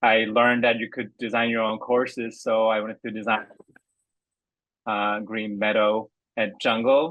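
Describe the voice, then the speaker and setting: A man's medium-pitched voice at a moderate pace. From Korea, then Seattle area from age 13. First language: Korean. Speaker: golf course designer for simulator software. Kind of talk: interview. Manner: halting, many fillers.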